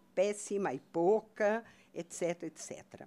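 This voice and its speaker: A woman with a Portuguese accent, fairly slow pace and ordinary pitch variation. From Brazil. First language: Portuguese (speaking Spanish). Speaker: researcher; speaker. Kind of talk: conference talk. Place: hall. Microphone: podium.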